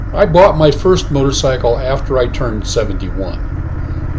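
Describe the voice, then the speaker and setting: A man speaks at a moderate pace. Room echo and background noise are both noticeable. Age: 70s. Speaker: motorcycle vlogger. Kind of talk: scripted narration.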